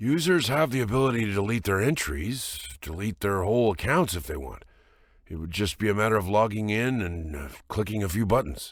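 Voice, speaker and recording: A man puts on a raspy character voice, pitched fairly low, with very wide pitch swings at a fairly quick pace. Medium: read story.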